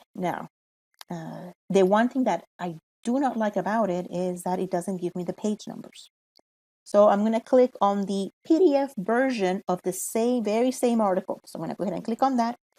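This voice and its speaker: Speaking in a Spanish accent with a dark, mellow tone, this voice has ordinary pitch variation and a moderate pace in a dry, close sound with no echo. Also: woman, medium pitch for a woman. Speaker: college librarian. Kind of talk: tutorial. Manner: casual, with fillers.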